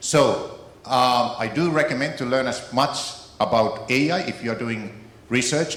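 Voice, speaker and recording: In a Finnish accent, the speaker talks with ordinary pitch variation, with audible room echo and noticeable background noise. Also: man. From Finland. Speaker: keynote speaker on AI, author. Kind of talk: keynote speech.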